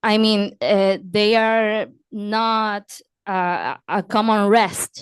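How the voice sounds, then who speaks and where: At a very slow pace, a woman with a Spanish accent speaks in a fairly high pitch with monotone, flat intonation. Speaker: audience member. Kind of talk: audience question. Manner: halting.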